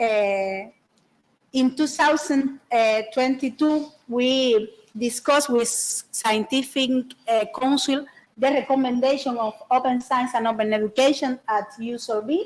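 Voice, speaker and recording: This woman has a high pitch and a Spanish accent. She talks fairly slowly, with ordinary pitch variation. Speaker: university librarian presenter. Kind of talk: conference presentation. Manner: halting, many fillers.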